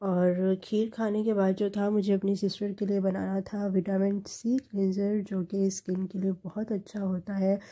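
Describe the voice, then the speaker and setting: A woman speaks at medium pitch in a dark, mellow tone that is somewhat breathy. Her intonation is monotone and flat. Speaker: lifestyle vlogger. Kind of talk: vlog voice-over narration.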